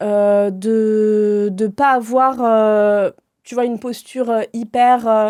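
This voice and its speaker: At a very slow pace, a woman speaks in a fairly high pitch with a dark, mellow tone and a monotone, flat intonation. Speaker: entrepreneur, customer experience consultant. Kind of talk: casual podcast interview. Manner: direct, casual with swearing.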